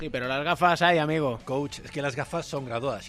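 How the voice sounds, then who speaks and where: The speech is very fast, with noticeable background noise. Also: man. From Galicia, Spain. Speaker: basketball commentator. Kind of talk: casual chat.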